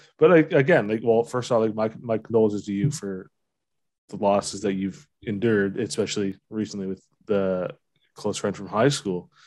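A normal speaking voice from a man with a Canadian accent, fairly low pitched, moderate in pace, against a quiet background. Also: ordinary pitch variation. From Ontario, London. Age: 30s. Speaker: podcast host. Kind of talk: casual chat.

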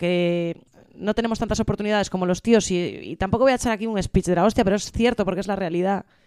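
A woman's medium-pitched voice with fairly even intonation, in a dry, close sound with no echo. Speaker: comedian. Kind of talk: casual chat. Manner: fast.

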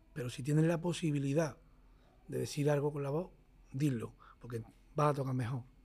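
A man talks at a fairly quick clip with long, frequent pauses, his fairly high voice somewhat breathy and his intonation fairly even. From Motril, Granada, Andalusia, Spain. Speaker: flamenco guitarist. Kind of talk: casual interview conversation. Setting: jazz club.

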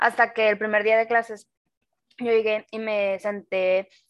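This woman has an unremarkable speaking voice, pitched fairly high, with fairly even intonation. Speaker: podcast co-host. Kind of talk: casual chat.

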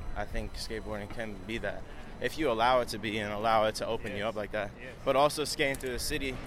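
Speaking very fast with an American accent, a man keeps a medium pitch and fairly even intonation over audible room echo. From Long Island, New York. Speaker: skateboarder and clothing maker. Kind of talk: casual interview while walking. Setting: outdoors walking city streets.

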